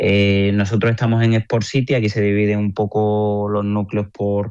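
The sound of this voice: A man with a fairly low pitch speaks at a moderate pace in a clear, smooth, slightly mellow tone with monotone, flat intonation.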